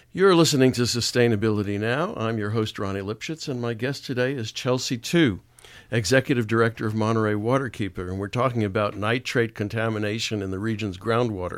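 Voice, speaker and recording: A man with a medium pitch talks at a very fast pace, with ordinary pitch variation. The recording is very clean, with a silent background. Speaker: radio host. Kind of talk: radio interview.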